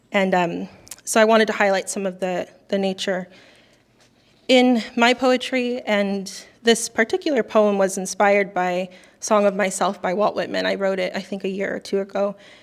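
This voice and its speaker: On a very clean recording with a silent background, a soft-spoken woman talks at a moderate pace and medium pitch with fairly even intonation. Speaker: poet. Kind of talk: casual talk between poems. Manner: halting.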